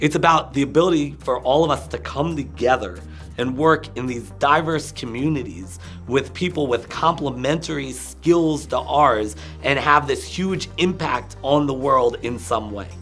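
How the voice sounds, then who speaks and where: With music in the background, a man at a medium pitch talks at a moderate pace with very wide pitch swings. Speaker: motivational speaker, coach, consultant. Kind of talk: interview answer.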